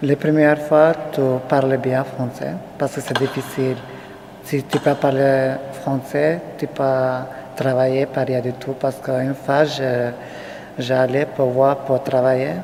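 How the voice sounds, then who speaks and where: The speaker has a non-native accent and talks at a very slow pace, with long, frequent pauses. Noticeable background noise runs behind the voice. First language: not French (speaking French). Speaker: refugee interviewee. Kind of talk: interview testimony. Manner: halting.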